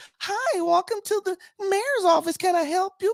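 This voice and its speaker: An extremely high put-on character voice speaks at a moderate pace. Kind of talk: polite, professional greeting.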